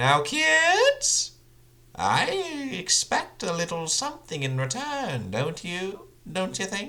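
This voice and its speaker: A put-on character voice at middle pitch and a very slow pace. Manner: playful, sly, joking, knowing, light and flittery.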